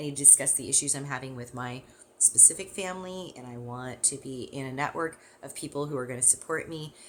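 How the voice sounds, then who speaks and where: This voice has an American accent and a very fast pace. The pitch varies in an ordinary way. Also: woman, very deep, low pitch for a woman. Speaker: parenting and caregiving educator. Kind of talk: course introduction talk.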